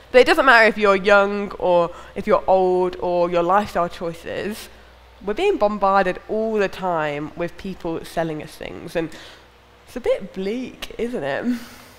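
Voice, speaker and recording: A woman speaks at a fairly slow pace, her loudness swinging widely and her pitch varying in an ordinary way. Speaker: preacher. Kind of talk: sermon. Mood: lively, smiling, animated. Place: church. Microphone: headset.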